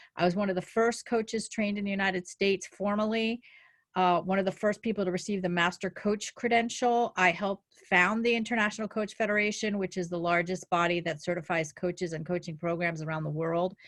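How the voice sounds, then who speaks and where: Speaking at a fairly quick pace, a woman with a New Jersey accent uses a medium pitch. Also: fairly even intonation. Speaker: life coach. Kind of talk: webinar presentation.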